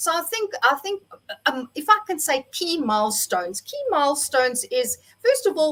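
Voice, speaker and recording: Her pace is moderate. The woman's high voice moves in very wide pitch swings. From South Africa. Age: 60s. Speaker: entrepreneur. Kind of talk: interview. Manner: unscripted, from the heart.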